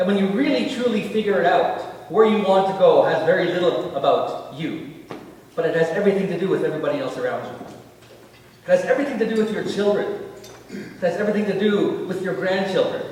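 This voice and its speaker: Loud and at a very fast pace, a man with high pitch and ordinary pitch variation talks amid noticeable background noise and audible room echo. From northern Ontario, Cree community at James Bay. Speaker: keynote speaker and TV personality. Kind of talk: keynote speech.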